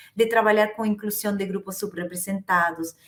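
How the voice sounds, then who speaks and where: A woman's medium-pitched voice with an Argentine accent. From Argentina. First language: Spanish (speaking Portuguese). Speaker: HR executive. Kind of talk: interview. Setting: at home, remote call. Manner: hesitant, repeats words.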